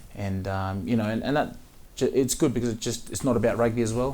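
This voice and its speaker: Talking at a very fast pace in an Australian accent, a man has a fairly low pitch, a dark, mellow tone, and fairly even intonation, with audible room echo. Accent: Australian, a bit of a twang. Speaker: professional rugby player. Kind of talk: interview. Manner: halting, many fillers and repeats.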